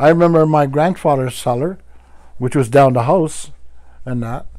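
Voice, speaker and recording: A man talks at a moderate pace with a dark, mellow tone. His pitch is fairly high, and his intonation stays fairly even. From Wiikwemkoong, Manitoulin Island, Ontario, Canada. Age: 60s. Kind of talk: teaching talk.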